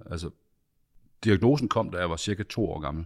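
A man speaks with a very deep, low pitch. The background is silent on this very clean recording. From central Jutland, Denmark. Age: 50s. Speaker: patient sharing experience. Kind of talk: interview testimony. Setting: studio. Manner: halting, many repetitions and fillers.

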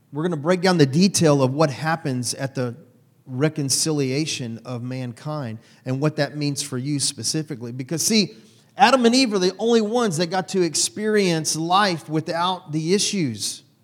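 Delivered in a normal speaking voice at a moderate pace, the lively intonation stands out in a very clean recording with a silent background. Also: man, fairly high pitch for a man. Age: 40s. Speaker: pastor. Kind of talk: sermon.

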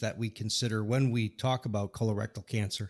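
A man with an unremarkable speaking voice talks at a fairly quick pace in a medium pitch, with ordinary pitch variation and a dry, close sound with no echo. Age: 50s. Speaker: podcast host and scientist. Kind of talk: interview.

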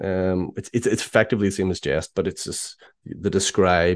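This man has a very deep, low pitch and a Northern Irish accent. The sound is dry and close with no echo, over a quiet background. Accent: Northern Irish (Belfast). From Northern Ireland, Belfast. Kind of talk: casual interview. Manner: halting, many fillers.

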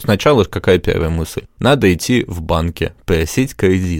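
A man with a very deep, low pitch and ordinary pitch variation speaks in a very clean recording with a silent background. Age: 20s. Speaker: entrepreneur. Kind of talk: interview.

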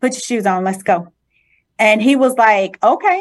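Her voice is a normal speaking voice, a woman's at medium pitch with ordinary pitch variation. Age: 40s. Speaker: faith testimony guest. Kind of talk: testimony.

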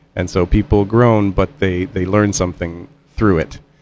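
A man speaks with an American accent. His pitch is fairly low and varies in an ordinary way. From Indiana, US Midwest. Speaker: musician and composer. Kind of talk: radio interview. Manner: hesitant, many fillers.

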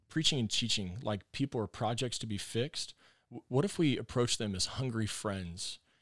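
A man's medium-pitched voice with a Texan accent and ordinary pitch variation, on a very clean recording with a silent background. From Texas. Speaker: pastor. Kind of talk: casual interview chat. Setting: studio.

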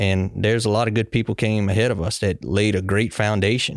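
A man talks at a fairly quick pace, his pitch fairly low and varying in an ordinary way. The recording is very clean and dry, close with no echo, and the background is silent. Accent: Louisiana. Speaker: young farmer committee chair, farmer. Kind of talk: casual chat. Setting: studio.

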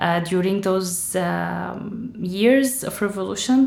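A woman with an Arabic accent speaks at a fairly slow pace and medium pitch, with ordinary pitch variation. Room echo is audible. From Syria, Damascus. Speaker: author. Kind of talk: interview.

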